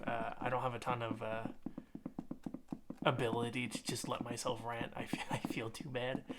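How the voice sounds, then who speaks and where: Against noticeable background noise, a man speaks at a moderate pace and medium pitch in a monotone, flat intonation, with long, frequent pauses. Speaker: ASMR creator. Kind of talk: casual personal ramble to the audience.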